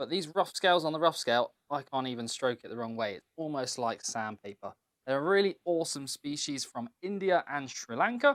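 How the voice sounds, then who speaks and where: In a British accent, a man with a fairly high pitch speaks with lively intonation, the recording very clean with a silent background and a dry, close sound with no echo. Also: big swings in loudness. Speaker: reptile keeper and breeder. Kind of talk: casual presentation, room tour.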